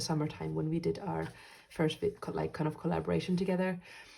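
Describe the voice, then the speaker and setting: A woman with a Finnish accent. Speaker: journaling YouTuber, medical student. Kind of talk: casual vlog chat. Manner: hesitant, many fillers.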